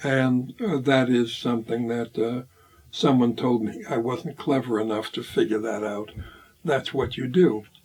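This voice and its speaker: Fairly even intonation and a fairly slow pace shape this speech in an American accent, with noticeable background noise. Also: man, medium pitch for a man. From US Northeast, Hartford, Connecticut. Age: 80s+. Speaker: bassist and composer. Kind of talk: interview. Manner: halting, many fillers.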